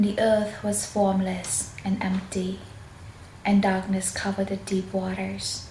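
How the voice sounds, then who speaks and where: Whispering and soft-spoken, a woman talks at a fairly slow pace amid noticeable background noise. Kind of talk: Bible reading for relaxation and sleep. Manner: soft-spoken, whispered.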